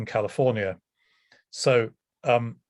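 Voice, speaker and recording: This man has an English accent. His pitch sits in the medium range. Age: 60s. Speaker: professor and priest. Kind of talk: lecture. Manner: hesitant, many ums.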